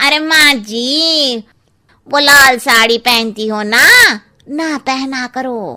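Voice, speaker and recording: In a cartoonish character voice, a woman speaks at a very slow pace and a high pitch. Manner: blunt, cheeky.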